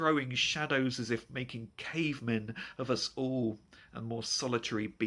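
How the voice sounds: Ordinary rises and falls of pitch across a natural reading voice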